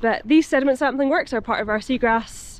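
A woman with a high pitch speaks in a dry sound with no echo. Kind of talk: casual vlog chat. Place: waterside. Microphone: phone near.

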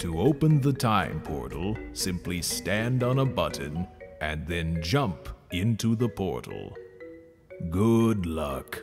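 Over clear background music, a man does a put-on character voice with a very deep, low pitch at a fairly slow pace. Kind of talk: video game cutscene voice impression. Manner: calm, solemn.

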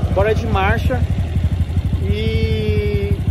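A man's voice comes through dry, with no echo, amid loud background noise. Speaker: motorbike vlogger. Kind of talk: casual vlog chat. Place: open country. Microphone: phone near.

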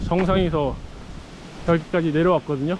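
Over light background noise, a man speaks in a high voice with a dry sound and no echo. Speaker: backpacker vlogger. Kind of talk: casual vlog chat. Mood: nostalgic, amused. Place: forest. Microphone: phone near.

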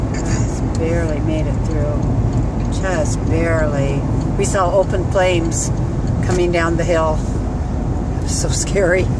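The speech moves at a fairly slow pace. Loud background noise fills the dry recording, which has no echo. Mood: alarmed, relieved. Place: car. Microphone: phone near.

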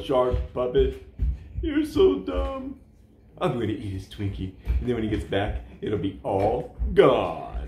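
A man puts on a cartoonish character voice. He speaks at a fairly slow pace. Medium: puppet show. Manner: gleeful, then disgusted and indignant.

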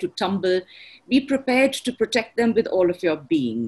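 A moderately paced female voice. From India, Bangalore; India. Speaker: designer; webinar panelist. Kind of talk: webinar panel discussion. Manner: poetic, flowing. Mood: inspirational, earnest. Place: home room. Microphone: video call.

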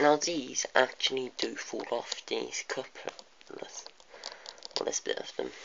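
Amid noticeable background noise, someone speaks at a very slow pace in a British accent. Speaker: model train reviewer. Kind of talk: video review, casual. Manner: halting, many fillers.

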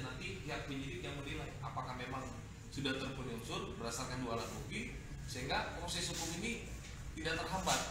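A man at a very fast pace, with strong room echo and noticeable background noise. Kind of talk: official address to visitors. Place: office. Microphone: camera far.

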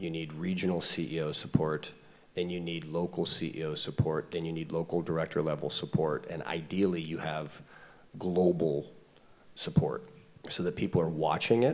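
At a moderate pace, a man speaks with a very deep, low pitch and fairly even intonation. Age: 40s. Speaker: startup CEO; panelist. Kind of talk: panel discussion. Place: stage. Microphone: handheld.

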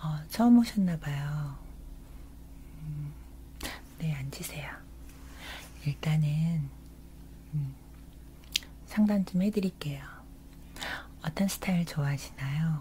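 A soft-spoken woman talks at a very slow pace with a gentle tone, leaving long, frequent pauses. Her loudness swings widely, and light background noise sits behind her. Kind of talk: ASMR roleplay. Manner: soft, gentle ASMR roleplay voice. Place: home room.

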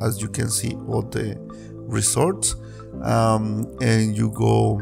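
A very slow delivery over clear background music. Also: man. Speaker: local tour guide. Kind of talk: casual vlog chat. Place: waterside. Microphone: phone near.

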